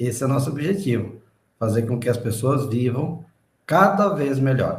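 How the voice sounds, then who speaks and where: A somewhat breathy man's voice at medium pitch, with lively intonation, a moderate pace, and audible room echo. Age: 60s. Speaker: independent distributor. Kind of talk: interview.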